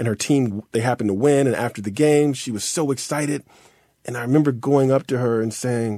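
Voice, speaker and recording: Fairly quick speech with a dark, mellow tone and fairly even intonation. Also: man. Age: 50s. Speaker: writer and poet. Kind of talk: interview. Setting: remote interview.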